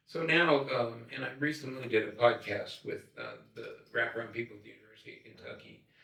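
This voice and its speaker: Over noticeable background noise, a man talks at a fairly quick pace with hardly any pauses and big swings in loudness. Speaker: wraparound care consultant. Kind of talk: podcast interview conversation. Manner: halting, many fillers and repetitions.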